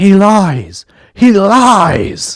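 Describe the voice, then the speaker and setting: The voice is a put-on character voice, raspy in texture. Its pitch sits in the middle range. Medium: read story.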